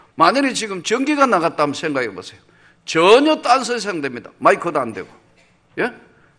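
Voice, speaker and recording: A raised, projected voice with a bright, sharp tone moves at a fairly quick pace through very wide pitch swings. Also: man, high pitch for a man, big swings in loudness. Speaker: pastor. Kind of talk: sermon. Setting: church.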